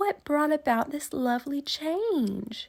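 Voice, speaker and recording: A put-on character voice that sounds female, high-pitched for a woman, delivered at a fairly slow pace. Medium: read story.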